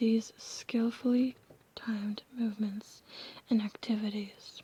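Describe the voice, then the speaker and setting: Someone is whispering at a very slow pace. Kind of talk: ASMR whispered book reading. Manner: whispered.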